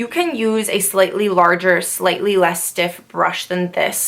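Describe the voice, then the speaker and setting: Noticeable background noise behind a woman at a medium pitch, with ordinary pitch movement and a moderate pace. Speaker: esthetician and makeup artist. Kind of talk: makeup tutorial talk to camera. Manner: casual, chatty.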